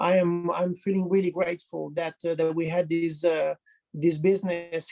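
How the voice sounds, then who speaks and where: In an Italian accent, a man speaks with a high pitch and flat, monotone intonation. His pace is moderate, and the sound is dry and close with no echo. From Italy. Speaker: health professional. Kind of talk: testimony. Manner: halting.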